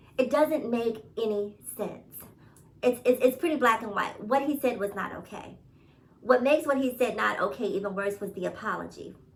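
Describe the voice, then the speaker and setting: With a New York accent and an animated tone, a woman talks at a moderate pace in a fairly high voice, with long, frequent pauses. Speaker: YouTube commentator. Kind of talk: casual commentary vlog.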